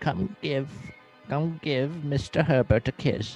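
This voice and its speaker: A man puts on a character voice, pitched fairly high. He speaks at a fairly slow pace over faint background music. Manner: creepy, coaxing.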